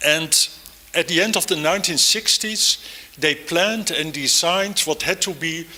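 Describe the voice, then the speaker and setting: With a Dutch accent, a man speaks at a fairly slow pace with ordinary pitch variation over noticeable background noise. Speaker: architect and professor. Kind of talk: lecture. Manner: hesitant, many fillers.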